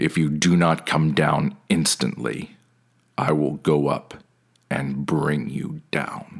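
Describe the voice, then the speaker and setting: Putting on a character voice, a man talks very slowly at a very deep, low pitch. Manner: commanding, then angry and tired.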